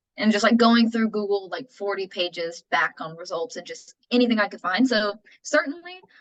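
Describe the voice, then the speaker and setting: A woman's fairly high-pitched, ordinary speaking voice with an American accent, lively intonation, a moderate pace and hardly any pauses. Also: big swings in loudness. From Texas, Austin. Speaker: author and editor. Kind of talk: casual interview conversation.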